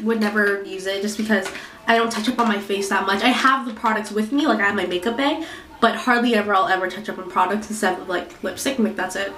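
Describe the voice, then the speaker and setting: A woman with a fairly high pitch talks at a fairly quick pace, with noticeable background noise behind her. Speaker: beauty product reviewer; student. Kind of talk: casual talk to camera.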